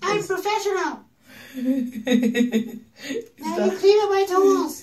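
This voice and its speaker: Over light background noise, a put-on character voice speaks, squeaky and high in pitch, at a very slow pace. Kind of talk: casual vlog chat. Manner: mocking impression. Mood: playful, joking.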